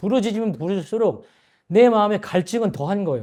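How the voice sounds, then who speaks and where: High-pitched, a man talks at a fairly quick pace. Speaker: businessman giving church testimony. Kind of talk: testimony. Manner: hesitant with fillers.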